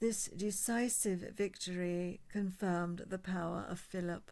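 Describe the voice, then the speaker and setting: Speaking fairly slowly, a woman of medium pitch has fairly even intonation and an unremarkable speaking voice. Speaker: audiobook reader. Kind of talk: history book reading.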